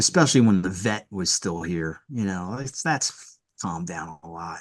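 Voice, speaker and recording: In a very clean recording with a silent background, a man with a Philadelphia accent speaks at a very deep, low pitch and a moderate pace with ordinary pitch variation. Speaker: rock band vocalist and lyricist. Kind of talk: casual interview chat. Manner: casual, hesitant with filler words.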